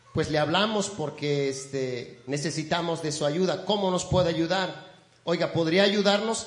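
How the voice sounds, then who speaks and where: Noticeable background noise sits under this recording. The man speaking has a high pitch. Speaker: pastor. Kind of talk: sermon. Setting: church. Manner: warm, folksy and conversational, pausing and repeating words; earnest, exhorting the congregation.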